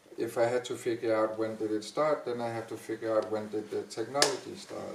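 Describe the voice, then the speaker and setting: Over noticeable background noise, a man speaks at a fairly quick pace with a medium pitch and fairly even intonation. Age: 50s. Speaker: dancer and dance teacher. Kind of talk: panel discussion.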